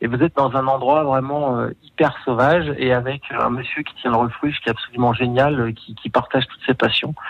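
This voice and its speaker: A man's monotone, flat delivery at a moderate pace, hardly pausing, with big swings in loudness. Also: medium pitch for a man. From Savoie, France (Aix-les-Bains). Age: 40s. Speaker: tourism marketing executive. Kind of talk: radio interview. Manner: hesitant, many fillers.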